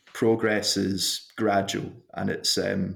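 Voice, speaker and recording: A man with a Glasgow accent speaks in a fairly low pitch, his intonation flat and monotone. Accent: Scottish (Glasgow). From Scotland, Glasgow. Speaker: sports medicine doctor. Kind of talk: interview.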